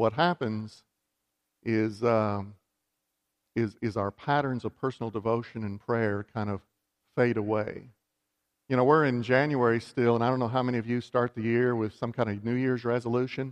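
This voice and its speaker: A man's medium-pitched voice in a Texan accent, moderate in pace with fairly even intonation and long, frequent pauses, the sound dry and close with no echo. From West Texas. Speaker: bishop. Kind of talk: sermon.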